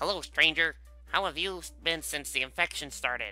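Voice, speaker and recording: Clear music plays in the background. A put-on character voice speaks at a moderate pace. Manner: weird.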